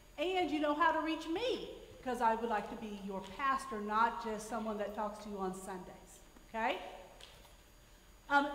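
A woman talks with lively intonation, and audible room echo surrounds her voice. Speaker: pastor. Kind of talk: church announcements. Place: church. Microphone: podium.

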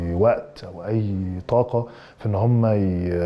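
A man with a normal speaking voice and a fairly low pitch talks with fairly even intonation. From Egypt. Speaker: actor. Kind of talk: interview answers. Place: studio. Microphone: lapel.

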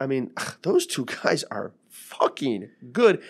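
Against a quiet background, a man talks at a very slow pace, his loudness swinging widely. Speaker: podcast co-host, MMA coach. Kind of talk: podcast commentary. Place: studio. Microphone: studio mic.

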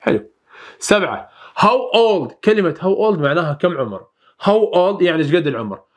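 Against a quiet background, a man with an Iraqi accent talks at a moderate pace in a high voice with lively intonation. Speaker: English teacher. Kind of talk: lesson. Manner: repetitive, drilling phrases. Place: studio. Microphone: lapel.

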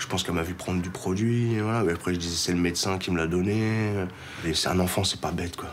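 The speech moves at a very fast pace with ordinary pitch variation over light background noise. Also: man. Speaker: driving instructor in addiction recovery. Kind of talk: testimony; reading aloud. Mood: remorseful, emotional. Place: home room.

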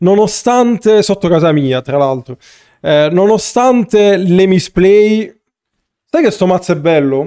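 Against a quiet background, a man with a high pitch and a dark, mellow tone speaks very slowly at a very even loudness. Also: lively intonation. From Italy. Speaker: gaming streamer. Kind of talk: live gameplay commentary. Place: home room.

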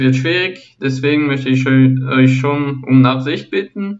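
A man talks at a moderate pace with a fairly high pitch. Music plays in the background. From Switzerland. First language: French (speaking German). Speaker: football analysis YouTuber. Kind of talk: channel introduction monologue. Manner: halting, frequent repetitions and fillers.

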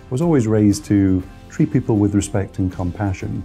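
A man with a British accent and a fairly low pitch talks at a moderate pace with music in the background. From United Kingdom. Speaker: licensed insolvency trustee. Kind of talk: interview answer.

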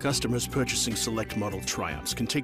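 Over music in the background, a man with a fairly low pitch talks at a very fast pace with very wide pitch swings. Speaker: voice actor. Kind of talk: radio commercial read.

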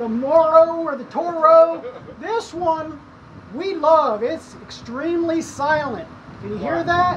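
A woman's extremely high voice at a very slow pace, with ordinary pitch variation, big swings in loudness and light background noise. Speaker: son reviewing mower. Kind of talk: casual mock review talk to camera. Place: home room.

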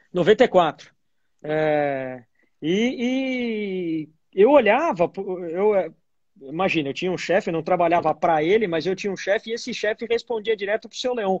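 Over a quiet background, a man with a high pitch talks at a fairly slow pace with lively intonation. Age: 40s. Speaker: entrepreneur; guest. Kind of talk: casual interview. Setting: Instagram live. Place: home room. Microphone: video call.

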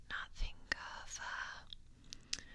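A woman is whispering and soft-spoken. Light background noise sits behind her. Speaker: ASMR creator. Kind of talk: soft whispered ASMR roleplay. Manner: soft intimate ASMR whisper. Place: home room. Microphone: studio mic.

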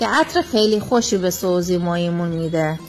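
A woman with a southern Iranian accent speaks as music plays in the background. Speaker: home cook. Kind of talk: cooking tutorial.

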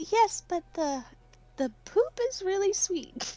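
A female-sounding voice puts on a character voice at an extremely high pitch. The pace is very slow. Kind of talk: player in-character voice. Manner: cheerful, matter-of-fact.

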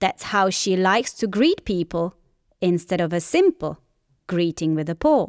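With very wide pitch swings and an animated tone, a woman speaks in a dry, close sound with no echo on a very clean recording with a silent background. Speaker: dog owner and poet. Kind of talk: poem read aloud, playful rhyming verse. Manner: animated, teasing, affectionate; rhythmic, sing-song cadence.

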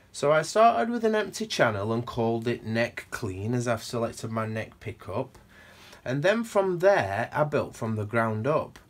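Using lively intonation, a man with a Sheffield accent speaks at a moderate pace and medium pitch. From northern England, Sheffield. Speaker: guitar gear demonstrator. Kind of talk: tutorial. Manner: casual, with hesitations.

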